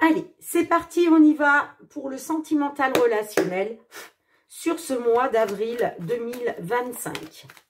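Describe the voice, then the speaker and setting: A woman speaks at a very slow pace. Her high-pitched voice has lively intonation. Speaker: tarot card reader. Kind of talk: astrology tarot reading. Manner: animated.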